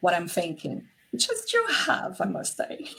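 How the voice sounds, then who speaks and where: A woman at medium pitch with a Portuguese accent. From Brazil. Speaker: relationship and intimacy coach. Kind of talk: interview conversation.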